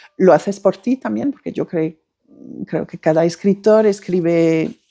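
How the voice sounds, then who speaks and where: A woman talks at a fairly slow pace with a dark, mellow tone and fairly low pitch. Her intonation is lively, her loudness swings widely, and the sound is dry and close with no echo. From France. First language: French (speaking Spanish). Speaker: novelist. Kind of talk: interview. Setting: bookshop. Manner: halting.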